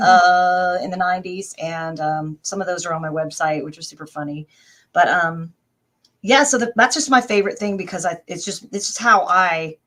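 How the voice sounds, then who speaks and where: A woman with an American accent has a plain, everyday voice at a medium pitch and moderate pace, showing ordinary pitch variation and big swings in loudness. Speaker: voice actress and singer. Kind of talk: casual interview answer.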